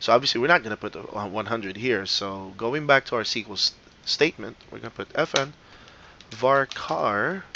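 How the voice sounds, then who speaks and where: A man with a non-native accent, at medium pitch and a moderate pace. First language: not English. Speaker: teacher. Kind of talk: lecture. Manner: casual, many fillers.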